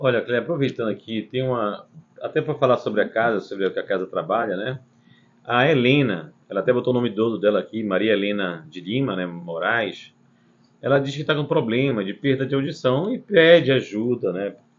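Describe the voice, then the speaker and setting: At a moderate pace, a man talks with lively intonation in an unremarkable speaking voice. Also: medium pitch for a man. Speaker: spiritist center host answering questions. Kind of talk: live Q&A.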